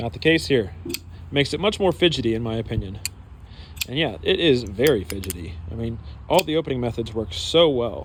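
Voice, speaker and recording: A man's medium-pitched voice with vocal fry, very wide pitch swings and a fairly quick pace. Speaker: knife reviewer. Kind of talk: product review. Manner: fast; casual with many fillers.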